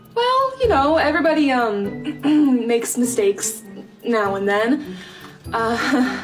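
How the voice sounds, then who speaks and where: A woman's high-pitched voice at a very slow pace, with ordinary pitch variation and clear music in the background. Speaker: guest. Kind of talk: acted comedy dialogue. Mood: exasperated, polite customer service tone. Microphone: phone near.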